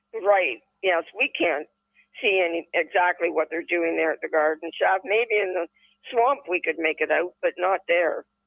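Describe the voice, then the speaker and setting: A woman speaks with a Canadian accent in a plain, everyday voice, her pitch fairly low. She keeps a moderate pace with ordinary pitch variation. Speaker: podcast co-host. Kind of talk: casual chat.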